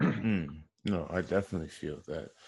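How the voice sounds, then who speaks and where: A man with an American accent speaks at a very deep, low pitch. The background is quiet. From Wisconsin, Kenosha. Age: 30s. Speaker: podcast host. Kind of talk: interview.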